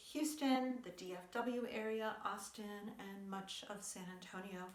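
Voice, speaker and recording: The voice shows ordinary pitch variation, with audible room echo and noticeable background noise. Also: woman. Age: 60s. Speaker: yoga and lifestyle vlogger. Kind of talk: casual chat. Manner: conversational with hesitations.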